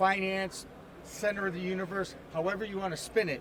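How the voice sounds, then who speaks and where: The speaker has an American accent and monotone, flat intonation. The pace is moderate, with noticeable background noise. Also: man. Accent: Boston accent, reduced. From Boston area, Massachusetts (Newton). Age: 60s. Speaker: sportscaster and talk show host. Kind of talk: casual interview chat.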